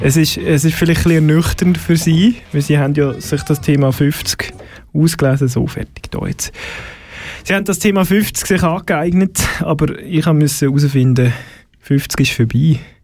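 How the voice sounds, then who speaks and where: Here a man has an unremarkable speaking voice. His pitch is fairly high and his pace fairly slow. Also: ordinary pitch variation. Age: 40s. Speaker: radio host. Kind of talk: casual chat. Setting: studio.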